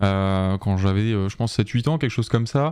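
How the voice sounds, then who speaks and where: A man talks at a moderate pace in a fairly low pitch, his tone dark and mellow. The recording is very clean, with a silent background. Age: 20s. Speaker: illustrator and art director. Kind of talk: podcast interview. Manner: hesitant, many fillers.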